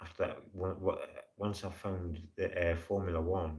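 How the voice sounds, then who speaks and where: Very deep and low, a man's somewhat breathy voice moves at a fairly slow pace with monotone, flat intonation. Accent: Geordie. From northern England, Newcastle upon Tyne. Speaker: live streamer. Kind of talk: casual chat.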